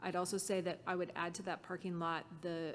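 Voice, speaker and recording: A woman speaks in a normal speaking voice at medium pitch. Her pace is fairly quick. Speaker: working group member. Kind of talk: committee meeting discussion.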